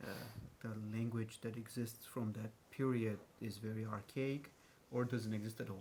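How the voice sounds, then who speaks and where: With audible room echo, a man speaks at a moderate pace in a medium pitch. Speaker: translator. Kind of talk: panel discussion. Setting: stage with audience. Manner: halting.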